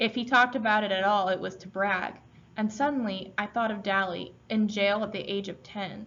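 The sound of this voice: What you hear is an unforced reading voice.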